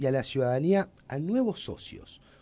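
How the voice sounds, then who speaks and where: Against a quiet background, the voice has a dark, mellow tone and very wide pitch swings. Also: man. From Uruguay. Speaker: radio host. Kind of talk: radio interview.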